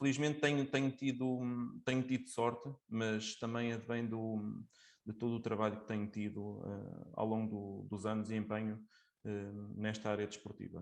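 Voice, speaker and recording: A man talks against a quiet background, keeping a moderate pace and fairly even intonation. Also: fairly low pitch for a man. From Portugal, Coimbra. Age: 20s. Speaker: sports judge and coach. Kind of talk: interview. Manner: hesitant, many fillers.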